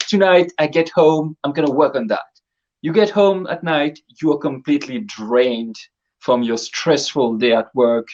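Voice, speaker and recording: With a plain, everyday voice, a man talks at a moderate pace and a fairly high pitch, his intonation lively. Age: 30s. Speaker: full-time cosplayer. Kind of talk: casual chat.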